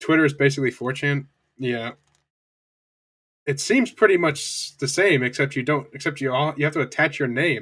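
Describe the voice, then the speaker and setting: This voice has a bright, sharp tone, ordinary pitch variation and a moderate pace. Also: man. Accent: American. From US. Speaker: streamer. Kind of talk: live stream chat and reading aloud. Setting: live stream. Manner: halting.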